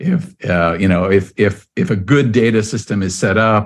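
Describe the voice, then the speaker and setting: A man speaks in a normal speaking voice, fairly low in pitch. His pitch varies in an ordinary way against a quiet background. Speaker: podcast host. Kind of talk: interview.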